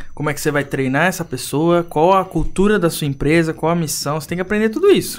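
A man speaks at a very fast pace. His pitch is high, with ordinary variation. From Brazil, São Paulo coast (Praia Grande). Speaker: entrepreneur. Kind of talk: podcast interview.

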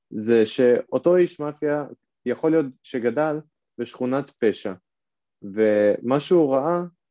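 Over a quiet background, a man's dark, mellow tone comes through dry and close with no echo, with ordinary pitch variation. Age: 20s. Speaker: real estate investor and lecturer. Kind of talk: lecture. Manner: casual, with frequent filler sounds.

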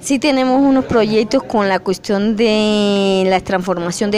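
A woman talks fairly slowly while noticeable noise fills the background. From Colombia, Norte de Santander (Catatumbo). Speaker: rural teacher and community leader. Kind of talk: research interview.

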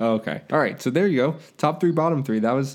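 Using a plain, everyday voice, a man at a medium pitch speaks with lively intonation. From Florida, Tampa. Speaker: sports podcast host. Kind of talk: casual chat. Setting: remote recording over computer.

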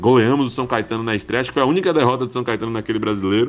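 A man speaks with ordinary pitch variation. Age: 20s. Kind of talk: casual chat.

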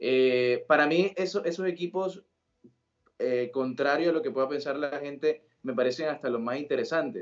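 A man with an unremarkable speaking voice, fairly high pitch, ordinary pitch variation and a moderate pace. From Colombia, Sincelejo, Sucre (Caribbean coast). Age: 20s. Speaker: football commentator. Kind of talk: casual interview.

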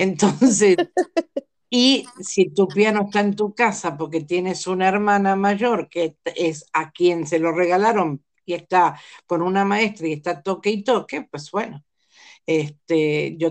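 Over a quiet background, a woman speaks in a plain, everyday voice at a fairly slow pace. Her pitch is fairly low, with ordinary variation. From Argentina. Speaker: life coach and family constellations facilitator. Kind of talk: interview about family constellations.

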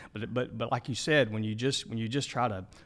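A man speaks with an Arkansas accent. His pitch sits in the middle range, and his intonation stays fairly even. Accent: Southern US (Arkansas). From Arkansas (Ashdown, southwest). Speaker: denominational minister, former interim pastor. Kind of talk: casual interview. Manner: halting, many repetitions.

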